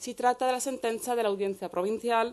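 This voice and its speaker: Over a quiet background, the speaker talks at a fairly quick pace with ordinary pitch variation. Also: woman. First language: Spanish (speaking Italian). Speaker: law professor. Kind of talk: conference talk. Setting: university lecture hall. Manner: formal.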